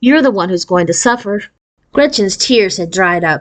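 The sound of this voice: The speaker reads in an unforced reading voice. The background is quiet.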